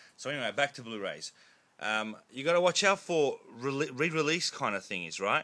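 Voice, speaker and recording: Mumbling at a fairly quick pace, a man with a bright, sharp tone and lively intonation is heard on a very clean recording with a silent background. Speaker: collector video blogger. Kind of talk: casual vlog monologue. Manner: loud.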